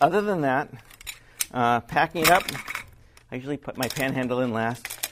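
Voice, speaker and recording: With ordinary pitch variation, a man speaks and leaves long, frequent pauses. Noticeable background noise is present. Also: medium pitch for a man, moderate pace. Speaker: video production owner. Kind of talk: tutorial. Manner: casual, hesitant.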